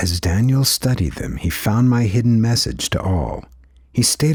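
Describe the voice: Reading aloud, plainly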